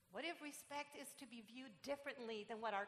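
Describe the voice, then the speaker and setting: A woman with a Puerto Rican accent uses a raised, projected voice at a moderate pace. Background noise is noticeable. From Puerto Rico. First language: Spanish. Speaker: pastor. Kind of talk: sermon. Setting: church.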